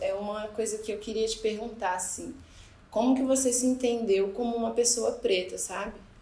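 Noticeable background noise and audible room echo around a woman with a fairly high pitch, a moderate pace and fairly even intonation. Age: 20s. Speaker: podcast host. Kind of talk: casual chat.

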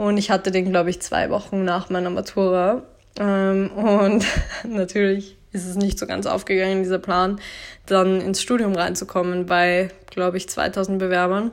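With monotone, flat intonation, a woman speaks at a moderate pace and medium pitch on a very clean recording with a silent background. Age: 20s. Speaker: podcast host, blogger. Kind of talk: solo monologue podcast.

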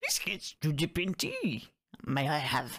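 A put-on character voice, croaky and set at a middle pitch. It moves at a fairly slow pace. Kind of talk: inverted word order.

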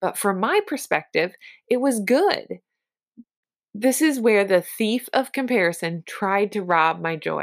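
In a normal speaking voice with lively intonation, the speaker goes at a fairly slow pace on a very clean recording with a silent background. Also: woman, medium pitch for a woman. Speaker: podcast host and sales coach. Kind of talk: pep talk. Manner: encouraging; personal, conversational.

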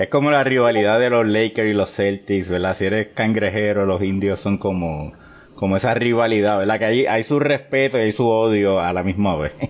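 Noticeable background noise surrounds a man speaking at a fairly low pitch. His loudness stays very even. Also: ordinary pitch variation, moderate pace. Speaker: sports podcast host. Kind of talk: casual interview chat.

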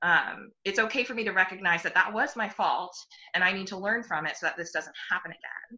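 Here a woman speaks in a normal speaking voice with an American accent. Her pitch is medium, with ordinary variation, and her pace is fairly quick. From Texas. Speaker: pediatric doctor. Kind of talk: casual chat.

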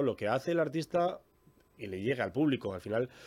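Speaking at a fairly quick pace, a man with a plain, everyday voice sits at a medium pitch. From Bilbao, Basque Country, Spain. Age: 40s. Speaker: sound technician. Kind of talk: interview.

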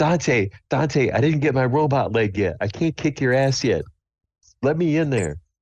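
A raspy, put-on character voice from a man at medium pitch, moderate pace and ordinary pitch variation, against a quiet background. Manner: gruff, profane, protective.

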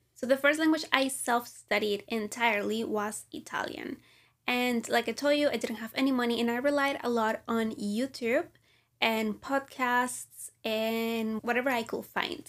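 A woman's high-pitched voice with fairly even intonation, on a very clean recording with a silent background. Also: moderate pace. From Venezuela. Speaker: language learning podcaster. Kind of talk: casual monologue.

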